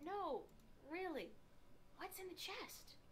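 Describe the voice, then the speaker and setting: A woman's squeaky put-on character voice at an extremely high pitch, over clear background noise. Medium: video game. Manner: calm, polite, curious.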